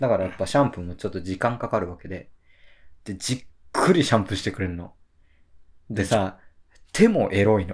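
Somewhat breathy and fairly low in pitch, a man talks at a fairly quick pace with ordinary pitch variation and long, frequent pauses on a very clean recording with a silent background. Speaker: freelance writer, podcast co-host. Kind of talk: casual chat. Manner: boisterous, laughing a lot.

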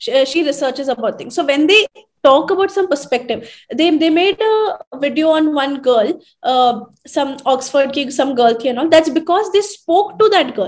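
The intonation is lively. A woman speaks at a high pitch. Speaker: trainer and social media creator. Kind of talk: casual chat.

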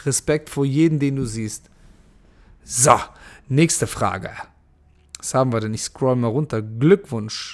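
This man talks at a medium pitch with ordinary pitch variation, moving at a very slow pace broken by long, frequent pauses. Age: 30s. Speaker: podcast host and MMA fighter. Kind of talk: live Q&A monologue. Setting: Instagram live stream. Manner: casual, many fillers.

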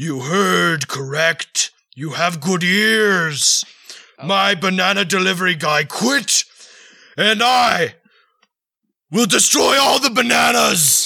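Using a raspy, put-on character voice pitched high for a man, a man speaks at a fairly slow pace with long, frequent pauses. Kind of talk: comic overacting. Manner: grandiose, mock-archaic, easily delighted.

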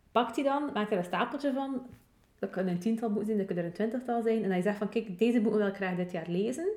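A woman's very fast, fairly high-pitched voice in a dark, mellow tone, with ordinary pitch variation. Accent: West Flemish. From West Flanders, Belgium. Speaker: podcast co-host. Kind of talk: casual chat.

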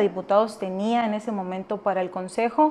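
A woman with a plain, everyday voice speaks at a moderate pace, her fairly high pitch showing ordinary pitch variation. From Mexico, Sonora (Navojoa). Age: 20s. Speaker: politician. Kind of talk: interview.

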